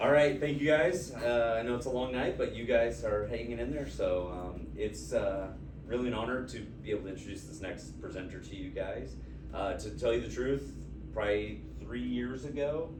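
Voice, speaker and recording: A man talks at a moderate pace, and audible room echo hangs around his words. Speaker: high school football coach. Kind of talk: speech introduction.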